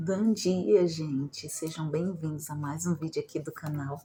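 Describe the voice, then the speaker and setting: Somewhat breathy and dark, mellow in tone, a woman's very deep, low voice moves at a fairly slow pace. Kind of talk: casual vlog talk. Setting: at home. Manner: soft-spoken, quieter than usual.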